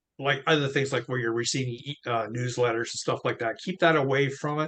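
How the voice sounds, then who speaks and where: A man speaks in a normal speaking voice at a fairly high pitch, with fairly even intonation and a moderate pace, against a quiet background. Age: 60s. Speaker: crypto wallet expert. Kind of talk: casual tutorial chat.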